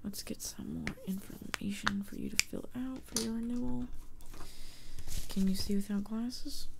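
Against loud background noise, a soft-spoken woman talks at a moderate pace. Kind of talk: soft-spoken roleplay dialogue. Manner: soft-spoken ASMR clerk voice. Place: home room.

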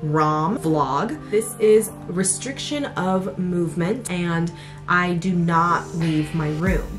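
Over clear music in the background, a woman talks at a very slow pace. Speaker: vlogger. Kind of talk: casual vlog chat. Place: home room.

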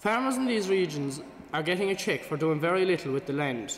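There's audible room echo as a man speaks. He has an Irish accent and a fairly quick pace. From Ireland. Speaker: student debater. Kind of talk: formal debate speech. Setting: stage with audience. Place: hall. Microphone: podium.

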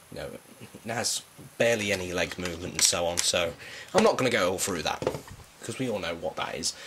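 With a British accent, a man talks very fast at a fairly low pitch, with ordinary pitch variation and long, frequent pauses, over noticeable background noise. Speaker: toy reviewer. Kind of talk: product review. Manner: casual, hesitant with fillers.

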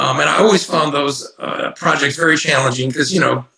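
A man's voice with audible room echo. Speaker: guest. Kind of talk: interview answer. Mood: warm, reminiscing. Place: home room. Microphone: video call.

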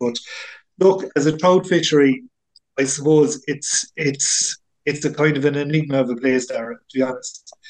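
A man with a Tipperary accent speaks at a fairly slow pace. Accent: Irish (Tipperary). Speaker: angling club member and lake angler. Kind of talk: interview.

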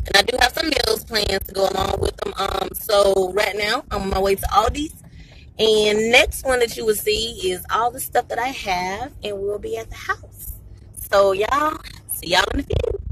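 A woman speaks at a moderate pace with ordinary pitch variation and big swings in loudness. The sound is dry with no echo, though there is noticeable background noise. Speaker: vlogger. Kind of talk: casual vlog chat. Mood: excited. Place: car. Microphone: phone near.

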